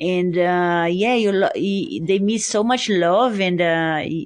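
A woman with a Brazilian accent speaks at a fairly slow pace and medium pitch with ordinary pitch variation over a quiet background. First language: Portuguese. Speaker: ultra and mountain runner. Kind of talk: interview. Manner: halting, many fillers.

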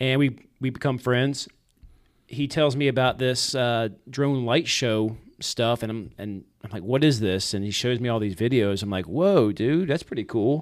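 A man with an American accent speaks in an ordinary speaking voice at a medium pitch. His pace is moderate, his pitch variation is ordinary, and the recording is very clean with a silent background. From Richmond, Virginia, then Georgia from age twelve. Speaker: videographer and drone show operator, former police officer. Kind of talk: casual interview chat. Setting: studio.

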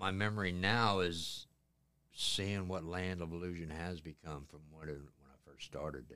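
A man with an American accent, very deep, low pitch, bright, sharp tone, fairly even intonation, moderate pace and big swings in loudness. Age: 60s. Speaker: haunted attraction manager. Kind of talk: interview.

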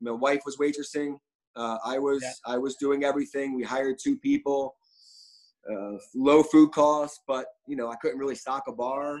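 In a plain, everyday voice, a man with an American accent and fairly high pitch speaks at a moderate pace with fairly even intonation. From Philadelphia. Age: 30s. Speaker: restaurant owner. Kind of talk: casual interview.

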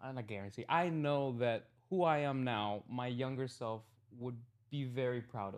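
A man with a plain, everyday voice speaks in an American accent at medium pitch and a moderate pace, over a quiet background. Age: 20s. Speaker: social media content creator. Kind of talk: casual podcast interview.

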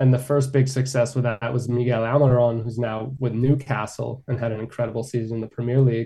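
Speaking with an American accent, a man talks at a very fast pace with hardly any pauses, in a flat monotone at medium pitch. His tone is dark and mellow and somewhat breathy. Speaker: sports journalist. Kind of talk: radio interview, conversational.

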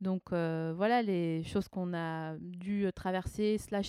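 A woman's dark, mellow tone at a medium pitch, with fairly even intonation, on a very clean recording with a silent background. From eastern France, Alsace (Haut-Rhin). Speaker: comedian and writer. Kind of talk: casual interview between friends. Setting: at home, around a coffee table.

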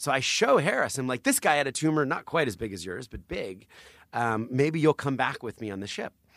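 With an American accent, a man talks in a normal speaking voice at medium pitch, the sound dry and close with no echo. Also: lively intonation, fairly quick pace, big swings in loudness, very clean recording, silent background. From New Jersey. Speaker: charity founder and author. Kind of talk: interview storytelling.

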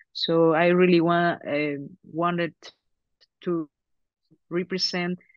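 A woman speaks with a Mexican accent in a fairly low pitch. Her intonation is monotone and flat. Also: dry, close sound with no echo. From Mexico. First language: Spanish. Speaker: actress. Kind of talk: press interview. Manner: halting, with many repetitions.

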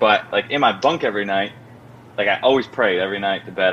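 Speaking very fast, a man uses a fairly low voice. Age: 20s. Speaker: former show regular, now a father. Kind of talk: casual chat. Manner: animated.

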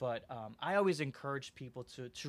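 At a moderate pace, a man with an American accent talks in a normal speaking voice, his pitch varying in an ordinary way, on a very clean recording with a silent background. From Aurora, Illinois, US Midwest. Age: 30s. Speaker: youth services worker. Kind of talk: interview. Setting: studio.

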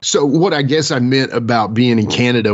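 A man speaks at a moderate pace with a medium pitch. His pitch varies in an ordinary way, and he has an ordinary speaking voice. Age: 40s. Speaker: podcast co-host. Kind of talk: casual interview chat.

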